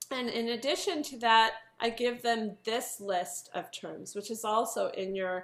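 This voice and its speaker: A woman talks fairly slowly in a plain, everyday voice. Her pitch is fairly high, with ordinary variation. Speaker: piano teacher giving a workshop. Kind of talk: online workshop presentation. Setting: video call.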